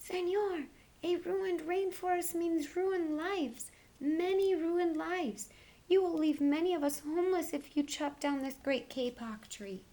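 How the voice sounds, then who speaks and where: Using a put-on character voice, a woman speaks at a moderate pace in an extremely high, squeaky tone. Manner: pleading, urgent.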